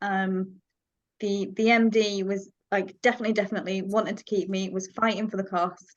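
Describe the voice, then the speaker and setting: Talking at a fairly quick pace, a woman with a slight Yorkshire accent keeps a medium pitch and a monotone, flat intonation. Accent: slight Yorkshire twang. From Yorkshire, northern England. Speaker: freelance marketing manager. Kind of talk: casual group video call discussion.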